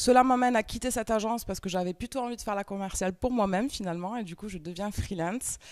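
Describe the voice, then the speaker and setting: A woman with a slight Toulouse accent, at a fairly quick pace and with ordinary pitch variation. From France, Toulouse. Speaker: entrepreneur and trainer. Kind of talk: conference talk. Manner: hesitant, many fillers.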